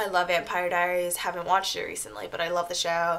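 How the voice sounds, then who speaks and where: The speaker is a woman with a fairly low pitch. She talks at a fairly quick pace. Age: 20s. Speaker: YouTuber, college student; vlogger. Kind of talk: casual vlog Q&A. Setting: at home in her apartment. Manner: casual, frequent fillers. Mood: cheerful, chatty. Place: home room. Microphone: webcam.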